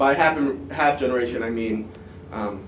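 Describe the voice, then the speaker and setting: A man with an American accent speaks at a fairly quick pace with lively intonation. Audible room echo and noticeable background noise come through. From Washington, D.C., US. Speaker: student presenter. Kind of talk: academic conference presentation.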